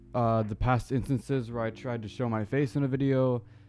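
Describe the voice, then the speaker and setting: Music sounds behind the voice. Its intonation is fairly even. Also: man. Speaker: small YouTuber. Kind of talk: casual opinion talk to camera. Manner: stuttering, hesitant.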